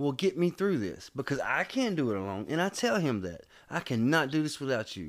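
On a very clean recording with a silent background, a man with a fairly high pitch speaks in an animated tone with very wide pitch swings. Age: 30s. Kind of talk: casual chat.

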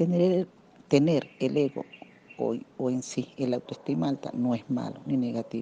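A woman speaks with a very deep, low pitch and a dark, mellow tone. Her pace is moderate, with ordinary pitch variation. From Venezuela. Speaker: radio panelist. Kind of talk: prepared talk.

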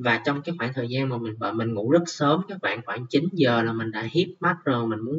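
A somewhat breathy male voice at medium pitch and moderate pace, with ordinary pitch variation. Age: 20s. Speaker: podcast host. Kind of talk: personal monologue. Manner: occasionally halting.

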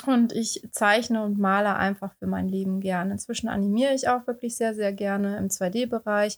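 A woman speaks in a plain, everyday voice at a moderate pace, with hardly any pauses, fairly even intonation and a dry, close sound with no echo. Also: medium pitch for a woman. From Baden-Württemberg, southwestern Germany. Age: 30s. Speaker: beautician and illustrator, podcast co-host. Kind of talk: casual podcast introduction.

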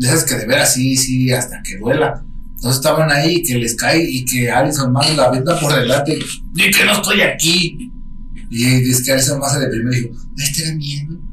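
With a Mexican accent, a man talks at a fairly quick pace over noticeable background noise and audible room echo. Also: fairly high pitch for a man, ordinary pitch variation. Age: 30s. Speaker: podcast host. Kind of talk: casual chat. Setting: home studio.

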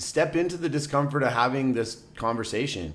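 Pitch moves in an ordinary way while the words come at a moderate pace. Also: man. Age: 30s. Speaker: podcast co-host. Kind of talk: casual chat.

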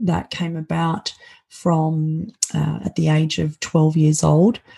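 Speaking at a very slow pace, a woman has an Australian accent. The sound is dry and close, with no echo. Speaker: keynote speaker and author. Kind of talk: interview conversation. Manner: halting, with many filler words.

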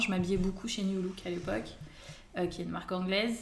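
Speaking at a fairly quick pace, a woman with a medium pitch is heard with audible room echo. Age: 20s. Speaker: fashion blogger. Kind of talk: casual interview chat.

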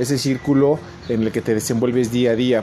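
Intonation stays fairly even at a moderate pace. Noticeable background noise runs underneath. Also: man. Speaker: podcast host. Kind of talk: solo monologue. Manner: halting, many filler words. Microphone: poor recording quality.

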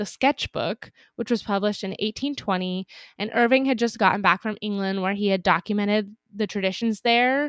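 A woman has a normal speaking voice at medium pitch with fairly even intonation. She speaks at a moderate pace in a dry, close sound with no echo. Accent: American. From Northern California, Napa. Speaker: podcast co-host. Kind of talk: casual chat. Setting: recording remotely, apart from co-host.

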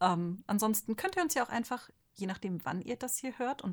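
Speaking at a fairly quick pace, a woman has a fairly high pitch and lively intonation. Her voice is somewhat breathy. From Ostwestfalen-Lippe, Germany. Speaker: manga artist. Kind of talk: casual chat.

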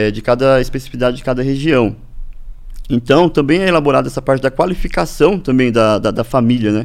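Lively in intonation, a man speaks at a medium pitch and a very fast pace. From Brazil, Paraná (Norte Pioneiro, Ibaiti). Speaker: agronomist, farmers' organisation official. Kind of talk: interview. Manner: halting, many fillers and repetitions.

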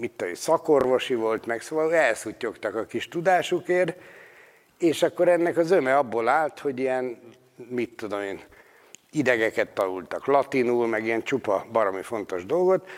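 A man delivers his words with lively intonation. His pace is moderate and his pitch medium. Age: 50s. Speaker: folk healer. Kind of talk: lecture. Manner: animated.

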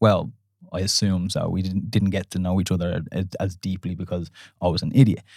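A man talks at a fairly quick pace in an Irish accent, his pitch very deep and low. His intonation is monotone and flat, on a very clean recording with a silent background. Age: 30s. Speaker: dating podcast co-host. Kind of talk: casual chat. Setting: studio.

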